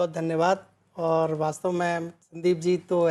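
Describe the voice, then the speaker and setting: Her tone dark and mellow, a woman with a fairly low pitch speaks in monotone, flat intonation. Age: 60s. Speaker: lawyer and poet. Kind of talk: interview. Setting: literary festival.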